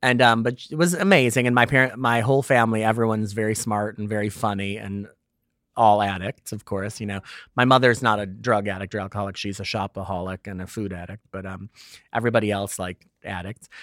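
A man with an American accent and a fairly low pitch talks at a very fast pace with big swings in loudness, in a very clean recording with a silent background. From US Midwest (Hanover Park, Illinois, Chicago suburbs). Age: 50s. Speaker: fashion magazine editor and columnist. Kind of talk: interview. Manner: animated.

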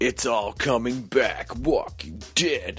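A man speaks in a put-on character voice with a dramatic tone, his pitch medium. He talks at a very slow pace over clear music in the background. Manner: dramatic, announcer-style.

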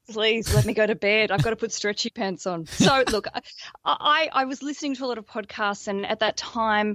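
In an Australian accent, a woman talks at a fairly high pitch and a fairly quick pace. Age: 30s. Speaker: podcaster and wedding planning coach. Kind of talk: casual chat. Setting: video call.

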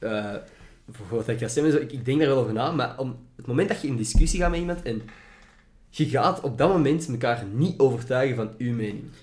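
With audible room echo, a man speaks at a fairly quick pace in a somewhat breathy voice, leaving long, frequent pauses. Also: medium pitch for a man, ordinary pitch variation. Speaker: podcast host and student. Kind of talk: casual chat. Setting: home recording in student room.

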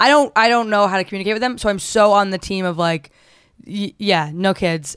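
Fairly quick delivery with ordinary pitch variation and an unremarkable speaking voice. Speaks with an American accent. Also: woman, medium pitch for a woman, quiet background. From New Jersey. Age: 20s. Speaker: comedian and singer. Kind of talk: casual chat.

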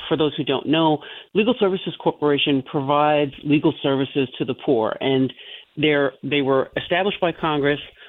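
A woman talks at a moderate pace with an American accent. Her pitch is very deep and low. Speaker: attorney caller. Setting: phone call.

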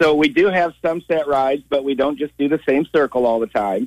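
A plain, everyday voice from a man, fairly quick in pace, with ordinary pitch variation. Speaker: carriage driver. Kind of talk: radio call-in. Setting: phone call.

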